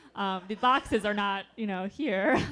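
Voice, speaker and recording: A woman with an American accent speaks at a medium pitch while music plays in the background. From New York state. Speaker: novelist. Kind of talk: author Q&A talk. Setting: library event with audience.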